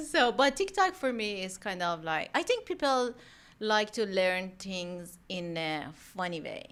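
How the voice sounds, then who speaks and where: A woman with a strong Iranian accent talks at a fairly slow pace, her pitch swinging very widely. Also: medium pitch for a woman, very clean recording, silent background. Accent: thick Iranian. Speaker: mortgage professional. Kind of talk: casual chat. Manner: animated.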